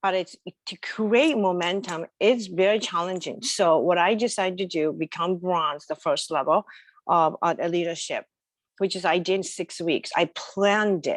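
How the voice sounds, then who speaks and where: In a strong Japanese accent, a woman of medium pitch speaks with a dry, close sound with no echo over a quiet background. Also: ordinary pitch variation, moderate pace. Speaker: entrepreneur. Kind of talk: interview. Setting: video call.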